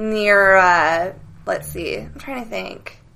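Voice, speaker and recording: A woman speaks at a very slow pace with an American accent and a bright, sharp tone. The room echo is audible. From US West Coast, Silicon Valley. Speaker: actress. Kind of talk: casual chat. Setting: studio.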